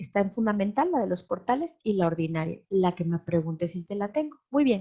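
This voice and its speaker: A woman's somewhat breathy voice with a dark, mellow tone, lively intonation and a moderate pace, dry and close with no echo. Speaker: lecturer on transparency law. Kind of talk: webinar lecture. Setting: online webinar.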